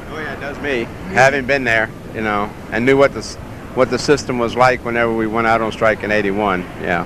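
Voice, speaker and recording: A man with an American accent talks at a fairly quick pace, his pitch medium and his intonation fairly even. Noticeable background noise runs under his voice. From US South, Mississippi Gulf Coast. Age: 60s. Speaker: dog show handler, former air traffic controller. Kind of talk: interview. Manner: hesitant, many fillers.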